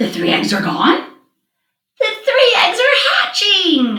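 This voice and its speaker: A put-on character voice moves at a fairly slow pace with a slight echo. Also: woman, extremely high pitch for a woman. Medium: read story. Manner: cheerful, matter-of-fact.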